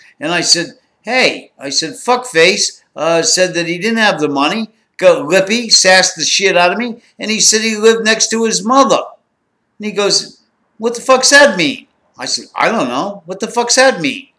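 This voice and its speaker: Speaking at a moderate pace, a man projects a raised voice that is high-pitched, bright and sharp, with lively intonation. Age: 60s. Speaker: former drug smuggler. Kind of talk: storytelling. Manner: animated.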